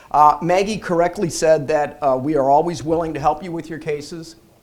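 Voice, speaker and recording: A man talks at a fairly quick pace with fairly even intonation, in a normal speaking voice. The recording is very clean, with a silent background. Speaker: bankruptcy lawyer. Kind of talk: seminar presentation. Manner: casual, repeats words.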